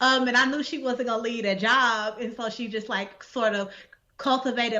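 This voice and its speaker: A woman talks with ordinary pitch variation amid audible room echo. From Texas, Dallas. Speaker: poet and essayist. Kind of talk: interview. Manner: casual, filler-heavy.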